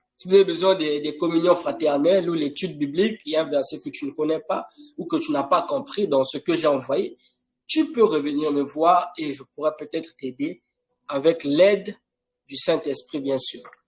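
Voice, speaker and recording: Speaking at a moderate pace, a man with a high voice shows big swings in loudness and ordinary pitch variation. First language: not French (an African language) (speaking French). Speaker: preacher. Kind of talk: sermon. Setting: online live broadcast. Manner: emphatic, insistent.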